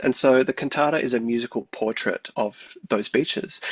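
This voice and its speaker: With an Australian accent, a man speaks at a moderate pace. His intonation is lively. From Australia, Victoria. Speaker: composer. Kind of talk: radio interview. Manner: hesitant, many fillers.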